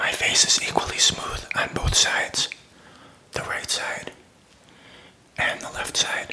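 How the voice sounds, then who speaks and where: A man whispers at a fairly slow pace, with long, frequent pauses and noticeable background noise. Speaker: shaving video host. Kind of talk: ASMR shaving tutorial. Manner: whispered, soft-spoken.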